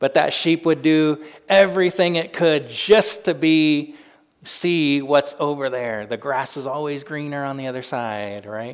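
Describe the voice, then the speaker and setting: In an American accent, this is an ordinary speaking voice delivered at a fairly slow pace, with ordinary pitch variation and big swings in loudness. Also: man, fairly high pitch for a man. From US Pacific Northwest (Spokane, Washington). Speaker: pastor. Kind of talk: sermon.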